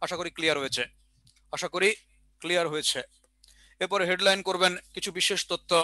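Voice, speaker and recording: In a bright, sharp tone, a man talks at a high pitch with fairly even intonation over a quiet background, the sound dry with no echo. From Bangladesh. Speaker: exam prep teacher. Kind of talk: online lecture; lecture. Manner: repetitive, dictation pace. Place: classroom. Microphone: headset.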